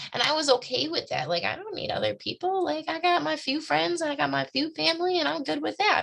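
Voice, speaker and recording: A woman speaks with an animated tone. Her pitch swings very widely. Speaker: direct sales team leader. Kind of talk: motivational live video talk.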